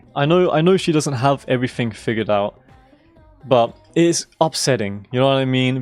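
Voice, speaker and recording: With music in the background, a man talks using ordinary pitch variation. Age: 20s. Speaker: video game streamer. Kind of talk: casual chat. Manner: halting.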